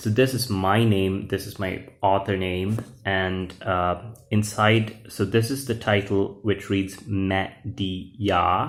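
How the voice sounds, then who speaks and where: Speaking very slowly in a Sri Lankan accent, a man uses a fairly low pitch and fairly even intonation. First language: Sinhala. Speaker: YouTuber, comic book author and English teacher. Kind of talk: casual video walkthrough of own comic book. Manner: hesitant, many fillers.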